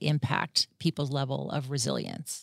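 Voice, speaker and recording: The recording is dry and close, with no echo. A woman with an American accent speaks in a calm tone. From US, Washington DC area. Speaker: clinical psychologist. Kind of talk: interview.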